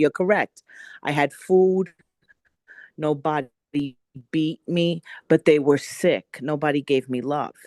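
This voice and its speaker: A woman's very deep, low voice with a New York accent, dark and mellow in tone, with ordinary pitch variation and long, frequent pauses, dry and close with no echo over a quiet background. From New York City. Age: 60s. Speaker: workshop participant. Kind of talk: personal testimony. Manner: emphatic.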